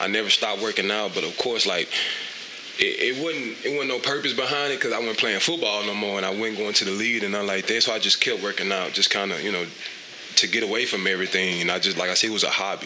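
Talking very fast, a man with an American accent has a fairly low pitch and ordinary pitch variation. Noticeable background noise and audible room echo fill the recording. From Mississippi Delta. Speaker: fitness trainer and entrepreneur. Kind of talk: casual interview chat.

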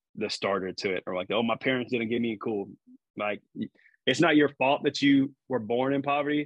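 The man's voice has a medium pitch. He speaks with an American accent. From Texas, San Antonio South Side. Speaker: military pilot and real estate investor. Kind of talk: casual chat.

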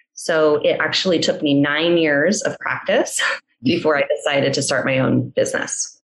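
A woman speaks at a moderate pace. Her loudness stays very even throughout. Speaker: physical therapist and clinic owner. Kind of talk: interview.

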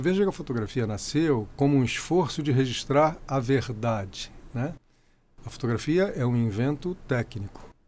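Using an ordinary speaking voice, a man speaks at a moderate pace and a fairly high pitch with lively intonation. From Rio de Janeiro, Brazil. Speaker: photographer and architect. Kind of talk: interview.

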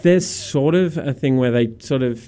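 Speaking with a dark, mellow tone, a man talks. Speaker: radio host. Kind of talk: radio dj patter, casual banter. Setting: studio. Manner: cheeky, animated, laughing.

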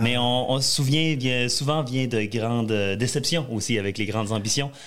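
Here a man talks at a moderate pace in a normal speaking voice with ordinary pitch variation. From Quebec, Saguenay (Jonquière). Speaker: country singer. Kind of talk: interview.

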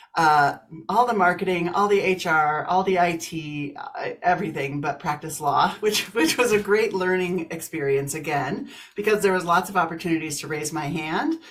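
A woman speaks in a normal speaking voice with an American accent. Her pitch is fairly low, with ordinary pitch variation. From US Midwest, Kansas. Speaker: business coach and author. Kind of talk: interview, casual chat.

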